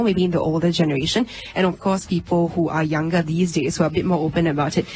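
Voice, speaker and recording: Over noticeable background noise, a woman with fairly low pitch talks at a very fast pace with ordinary pitch variation. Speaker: radio host. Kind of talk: live radio panel show hosting.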